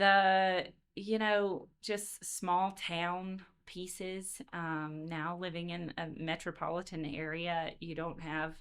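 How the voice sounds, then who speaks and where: In a very clean recording with a silent background, a woman with a Southern US accent speaks very slowly at a fairly low pitch, her intonation monotone and flat. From Louisiana. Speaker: education consultant, former teacher. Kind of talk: podcast interview. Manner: hesitant, many fillers.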